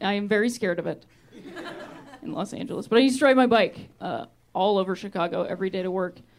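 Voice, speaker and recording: A woman talks very fast in an American accent with lively intonation. Her loudness swings widely over noticeable background noise. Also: medium pitch for a woman. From Ohio, US Midwest. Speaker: stand-up comedian. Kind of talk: stand-up. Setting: stage with audience.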